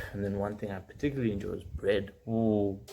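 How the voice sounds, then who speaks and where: Somewhat breathy, this man's voice rests at a fairly low pitch. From Eswatini (Swaziland). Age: 20s. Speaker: medical student vlogger. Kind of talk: casual personal vlog. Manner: hesitant, many fillers.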